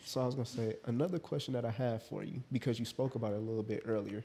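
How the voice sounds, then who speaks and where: Somewhat breathy and medium in pitch, a man talks at a very fast pace with ordinary pitch variation. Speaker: podcast host. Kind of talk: casual podcast interview.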